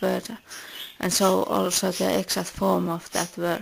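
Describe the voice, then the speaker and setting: A woman speaks in a Finnish accent at a moderate pace. Noticeable background noise is present. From Finland. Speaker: philosophy video maker. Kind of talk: scripted narration.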